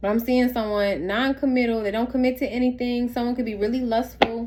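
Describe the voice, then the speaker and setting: In a plain, everyday voice, a woman talks at a fairly quick pace with fairly even intonation. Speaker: tarot reader. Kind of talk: tarot reading.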